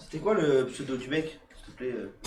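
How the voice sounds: A man's medium-pitched, slightly mellow voice at a fairly quick pace, with lively intonation and strong room echo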